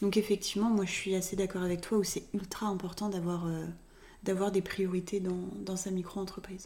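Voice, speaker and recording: Against noticeable background noise, a woman at medium pitch talks at a moderate pace in a monotone, flat delivery with hardly any pauses. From Reims, France. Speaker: podcast co-host, communication consultant. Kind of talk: casual chat. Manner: hesitant, many fillers.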